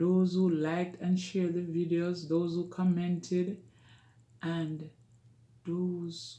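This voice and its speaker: A very slow delivery in a Jamaican accent. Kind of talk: casual talk to camera.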